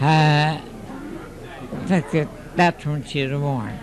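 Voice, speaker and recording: Behind noticeable background noise, a man with an American accent and a fairly high pitch speaks at a very slow pace. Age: 80s+. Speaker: centenarian. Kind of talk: casual interview. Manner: halting.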